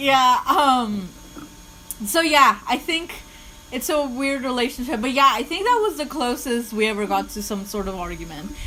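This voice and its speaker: A woman with a non-native accent speaks in a high pitch with lively intonation at a moderate pace. Noticeable background noise can be heard. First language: not English. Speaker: podcast co-host. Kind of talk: casual chat. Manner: halting.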